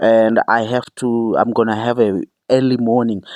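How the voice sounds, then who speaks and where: A woman speaks in a very deep, low pitch. The background is quiet. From South Africa. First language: non-English South African language. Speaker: YouTuber commentator. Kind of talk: opinion vlog rant; voiceover apology.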